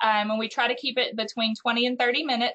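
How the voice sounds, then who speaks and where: The tone is bright and sharp, carried on fairly even intonation. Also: woman. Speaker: youth prevention program coordinator. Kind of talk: virtual meeting presentation. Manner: frequent fillers, um.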